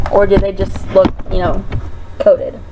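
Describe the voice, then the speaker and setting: Here a woman is speaking. There is noticeable background noise. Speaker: makeup sales presenter. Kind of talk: tutorial. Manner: slow; casual.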